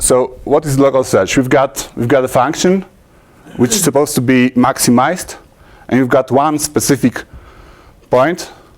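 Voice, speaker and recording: A man with a Polish accent talks at a moderate pace, with long, frequent pauses. His loudness stays very even. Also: medium pitch for a man, ordinary pitch variation. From Poland. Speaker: conference speaker, programmer. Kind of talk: technical conference talk. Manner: halting, many fillers and restarts.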